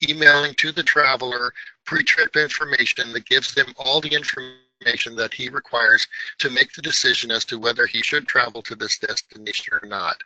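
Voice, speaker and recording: Male speech at a moderate pace, the sound dry and close with no echo. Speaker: tech company presenter. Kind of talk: webinar presentation. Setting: online webinar. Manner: hesitant with fillers.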